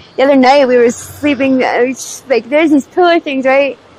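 The delivery moves at a fairly quick pace with fairly even intonation. The sound is dry, with no echo. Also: woman. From Pennsylvania, US. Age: 20s. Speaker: homeless drug user interviewee. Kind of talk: street interview. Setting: outdoors on the street. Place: street. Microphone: lapel.

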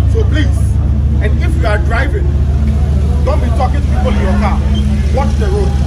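Loud background noise fills the clip. Over it, a man talks. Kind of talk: safety briefing to a crowd. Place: street.

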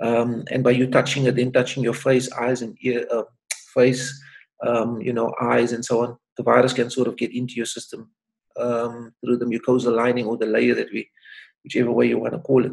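Over a quiet background, a man speaks with vocal fry and monotone, flat intonation. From South Africa, Cape Town (Manenberg); South Africa. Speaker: doctor. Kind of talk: interview. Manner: hesitant with repetitions. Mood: calm, advisory. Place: home room. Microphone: webcam.

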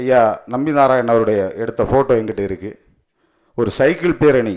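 Against a quiet background, a man uses a plain, everyday voice at a medium pitch with ordinary pitch variation. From Kanyakumari district, Tamil Nadu; Tamil Nadu. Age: 40s. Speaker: lawyer and party official; speaker. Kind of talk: ceremony speech. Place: hall. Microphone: podium.

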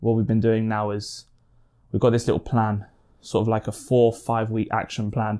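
The man's intonation stays monotone and flat, in a dark, mellow tone at a moderate pace. The background is quiet. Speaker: boxing vlogger. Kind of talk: casual vlog chat. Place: home room.

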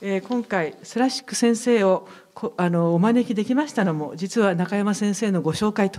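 The background is quiet as a woman talks. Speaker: foundation representative. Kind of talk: formal opening speech. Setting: stage with audience. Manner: formal. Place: hall. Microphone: podium.

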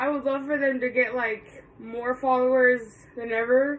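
At a fairly slow pace, a woman speaks in a high pitch. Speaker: vlogger. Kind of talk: casual vlog chat. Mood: upbeat, grateful. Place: home room. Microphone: phone near.

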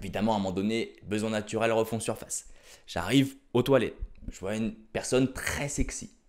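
There is a quiet background here. Against it, a man talks in an animated tone. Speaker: stand-up comedian. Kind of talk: stand-up comedy routine, storytelling with jokes. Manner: animated, punchy, exaggerated delivery with slangy asides. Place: home room. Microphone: handheld.

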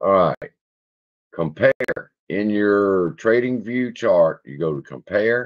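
A man's very slow speech with a Louisiana accent, long, frequent pauses and big swings in loudness, over a quiet background. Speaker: stock market YouTuber. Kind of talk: casual livestream chat reading. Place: home room. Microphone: webcam.

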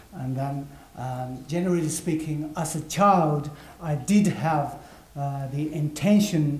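A man at a fairly slow pace, fairly even in intonation, with audible room echo. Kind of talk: interpreted lecture. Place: hall.

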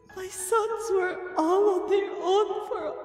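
A woman speaks in a put-on character voice pitched extremely high, at a fairly slow pace. Clear echo surrounds her, with clear music in the background. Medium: fan dub. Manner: dry, teasing, then halting and searching.

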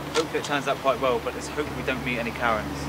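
A man at a very fast pace, in a dry sound with no echo, against loud background noise. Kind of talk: casual vlog chat. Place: street.

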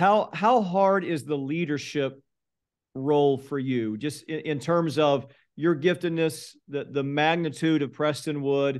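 The background is quiet as a man talks at a fairly slow pace. His fairly high pitch varies in an ordinary way, and it is an ordinary speaking voice. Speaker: pastor. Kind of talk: interview. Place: office. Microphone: video call.

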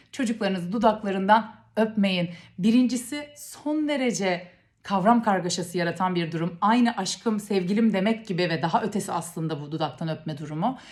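A woman with a medium pitch and a somewhat breathy voice speaks at a moderate pace with lively intonation. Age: 30s. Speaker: parenting educator. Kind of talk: educational talk to camera.

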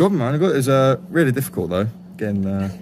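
A man with a medium-pitched, slightly mellow voice talks fast with lively intonation.

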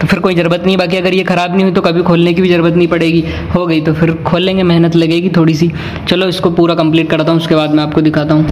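Light background noise accompanies a man with a high pitch and a fairly quick pace. His monotone, flat intonation holds at a very even loudness. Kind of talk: tutorial. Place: home room. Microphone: phone near.

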